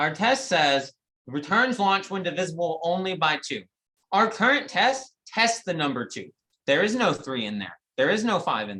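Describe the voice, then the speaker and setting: A woman with a fairly low pitch and a bright, sharp tone speaks at a fairly slow pace with vocal fry. Her pitch swings very widely and her loudness shifts a great deal. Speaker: guest lecturer. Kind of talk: lecture.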